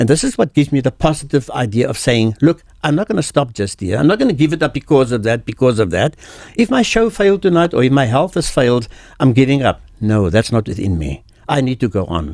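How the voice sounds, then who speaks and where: With vocal fry and very wide pitch swings, a man speaks at a very fast pace around a medium pitch. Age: 70s. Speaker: veteran entertainer. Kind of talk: interview.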